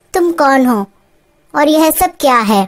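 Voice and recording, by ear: At a moderate pace, a cartoonish character voice delivers its lines with lively intonation. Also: woman, high pitch for a woman.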